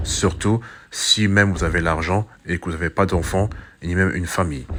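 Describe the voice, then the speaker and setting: Fairly even intonation at a moderate pace from a man with a very deep, low voice. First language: not French (speaking French). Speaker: YouTuber, commentator. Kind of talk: monologue commentary video. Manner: hesitant, many fillers and repetitions.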